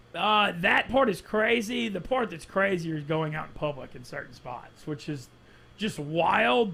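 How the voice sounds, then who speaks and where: In a Southern US accent, the speaker keeps a moderate speed and ordinary pitch movement. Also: man. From Louisiana (Monroe). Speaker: sports media personality. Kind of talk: casual chat.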